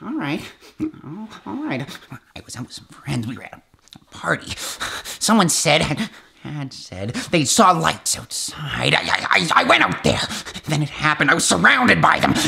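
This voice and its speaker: A man speaks at a moderate pace with a fairly high pitch. His pitch swings very widely and his loudness swings a lot. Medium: short film. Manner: excited, rambling, paranoid.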